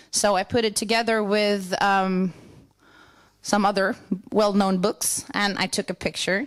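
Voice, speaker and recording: A woman speaks at a fairly slow pace in a southern Swedish accent, her pitch fairly high. The recording is very clean, with a silent background. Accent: Swedish (Scanian) accent in English. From southern Sweden (Skåne, Lund). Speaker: church worker. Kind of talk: conference presentation. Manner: halting.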